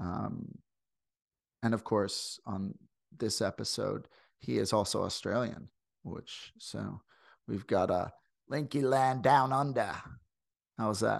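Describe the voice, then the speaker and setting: A man with an American accent speaks very slowly at a medium pitch, with vocal fry and ordinary pitch variation. His long, frequent pauses stand out against a quiet background. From US Midwest, St. Louis. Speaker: podcast host. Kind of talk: casual interview. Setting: video call.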